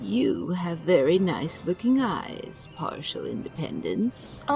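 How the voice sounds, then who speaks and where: Against clear background noise, a woman performs a put-on character voice. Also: fairly slow pace. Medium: audio drama. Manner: gentle, earnest.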